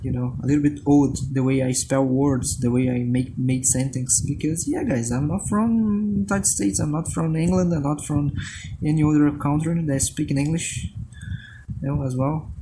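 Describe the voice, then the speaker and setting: Amid noticeable background noise, a man speaks at a moderate pace with a fairly high pitch and ordinary pitch variation. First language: Portuguese. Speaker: illustrator. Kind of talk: narrated drawing video voice-over. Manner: halting, many repetitions and fillers; casual.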